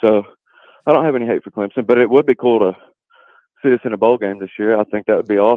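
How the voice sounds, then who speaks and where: A man with an East Tennessee accent talks at a very fast pace between long, frequent pauses, his intonation fairly even. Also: medium pitch for a man. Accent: East Tennessee Southern. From Newport, Tennessee. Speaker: Tennessee fan caller. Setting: phone call.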